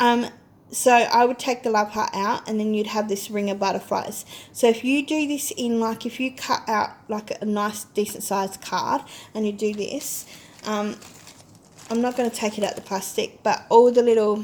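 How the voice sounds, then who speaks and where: A woman with an ordinary speaking voice, fairly high in pitch, with fairly even intonation. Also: moderate pace. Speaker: crafting haul vlogger. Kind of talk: casual product demo.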